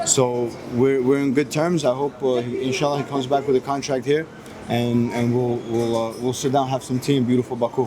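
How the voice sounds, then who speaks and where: Against noticeable background noise, a man talks at a fairly quick pace and a medium pitch with monotone, flat intonation. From US (moved from Moscow at six). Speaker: MMA fighter. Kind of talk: press interview. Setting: airport. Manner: halting.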